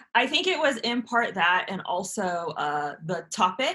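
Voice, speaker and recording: A loud woman with a bright, sharp, animated tone, fairly low pitch and lively intonation. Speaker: author and YouTuber. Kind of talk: podcast interview.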